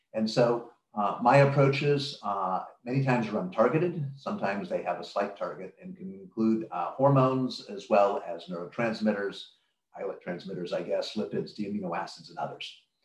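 In a room with audible echo but a quiet background, a man talks at a fairly quick pace with big swings in loudness. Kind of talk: lecture. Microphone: webcam.

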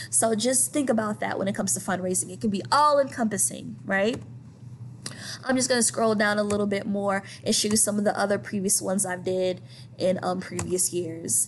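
A woman with an American accent at medium pitch, with vocal fry, very wide pitch swings, a fairly quick pace and light background noise. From US South (St. Petersburg, Florida); US South. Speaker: high school art teacher; art teacher. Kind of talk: recorded presentation. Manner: casual, conversational. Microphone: webcam.

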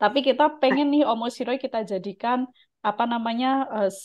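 Pitch varies in an ordinary way as a normal speaking voice proceeds at a moderate pace against a quiet background. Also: woman. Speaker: Japanese language teacher and YouTube channel host. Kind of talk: tutorial with mock interview. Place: home room. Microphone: video call.

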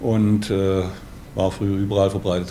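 This man has a fairly low voice. Light background noise can be heard. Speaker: dialect expert. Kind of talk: interview answer. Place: office.

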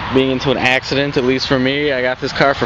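A man's voice sounds dry with no echo, with noticeable background noise behind it. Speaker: vlogger. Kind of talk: casual vlog chat. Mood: joking, self-deprecating. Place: street. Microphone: phone near.

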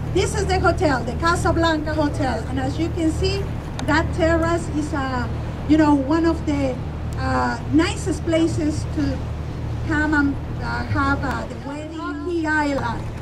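Someone speaks at a fairly slow pace with noticeable background noise behind them. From Mexico. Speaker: tour guide. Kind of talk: guided tour narration. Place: boat.

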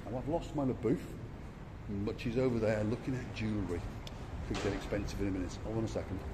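With long, frequent pauses, a man talks against noticeable background noise. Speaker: vlogger. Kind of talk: casual walking vlog narration. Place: street. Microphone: phone near.

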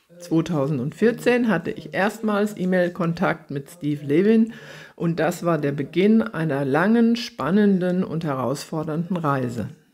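At a fairly slow pace, a woman with a fairly low pitch speaks with lively intonation. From Germany. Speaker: horse trainer and author giving a talk; lecturer. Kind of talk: lecture; recorded lecture. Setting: online event. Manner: formal. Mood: calm, earnest.

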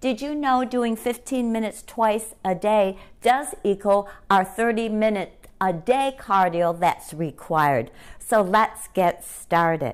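Speaking at a fairly slow pace against a quiet background, a woman uses lively intonation. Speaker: fitness instructor. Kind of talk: workout instruction. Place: home room.

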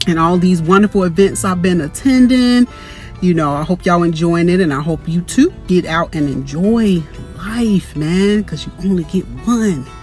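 A woman's fairly low voice at a moderate pace, with ordinary pitch variation, a dry sound with no echo and faint music in the background. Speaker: vlogger. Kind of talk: casual vlog chat. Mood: upbeat, reflective. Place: car. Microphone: phone near.

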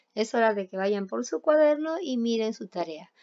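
With an unremarkable speaking voice, a woman talks fairly slowly at a fairly high pitch, her intonation lively. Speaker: primary school English teacher. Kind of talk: online class, bilingual lesson. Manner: slow, repeating each phrase in Spanish.

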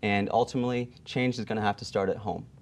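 Listen to a man with a Pennsylvania accent. His intonation is monotone and flat. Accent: Pennsylvania American. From Pennsylvania, Allentown area. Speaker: political candidate; candidate. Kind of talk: political debate. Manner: halting, many fillers. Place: studio. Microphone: lapel.

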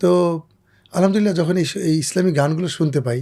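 Somewhat breathy and dark, mellow in tone, a man's voice comes through on a very clean recording with a silent background. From Bangladesh, Faridpur. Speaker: Islamic singer. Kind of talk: interview.

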